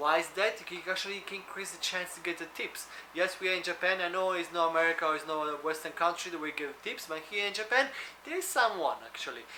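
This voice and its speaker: Noticeable background noise behind very fast talking, the pitch moving in an ordinary way. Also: man, high pitch for a man. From Italy. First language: Italian. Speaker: food delivery driver and vlogger. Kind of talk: tutorial.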